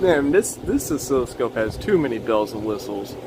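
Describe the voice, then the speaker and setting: A man's voice over noticeable background noise. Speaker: electronics repair hobbyist. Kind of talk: casual tutorial. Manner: halting.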